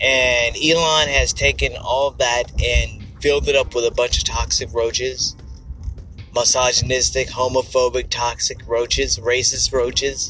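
Through noticeable background noise, a man speaks at a fairly slow pace. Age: 50s. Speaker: podcast host. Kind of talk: casual monologue.

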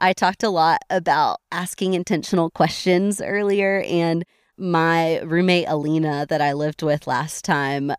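On a very clean recording with a silent background, a woman speaks in a very deep, low pitch with fairly even intonation. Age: 20s. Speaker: church discipleship director. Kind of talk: interview conversation. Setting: outdoors in the woods at a state park.

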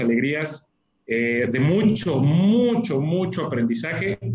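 A man speaks with very wide pitch swings. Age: 30s. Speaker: real estate company executive. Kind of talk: interview.

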